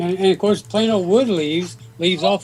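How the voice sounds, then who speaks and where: The man's voice is high-pitched. It varies in pitch in an ordinary way. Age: 80s+. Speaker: gardening YouTuber. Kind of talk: casual chat.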